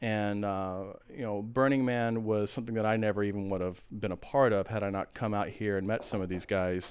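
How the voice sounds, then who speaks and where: With an American accent, a man talks in an unremarkable speaking voice at a fairly low pitch, with fairly even intonation and hardly any pauses. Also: fairly quick pace. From Texas (San Antonio, Austin). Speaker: keyboardist and entertainer. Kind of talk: casual chat.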